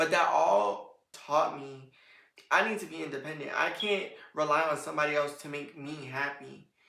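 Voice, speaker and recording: A woman speaks at a moderate pace in a very deep, low pitch. There is audible room echo. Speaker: podcast host. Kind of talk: solo podcast monologue. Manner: casual, rambling.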